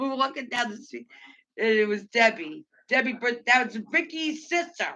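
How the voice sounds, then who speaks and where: The voice is loud and moves at a moderate pace. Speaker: livestream host. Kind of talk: casual chat.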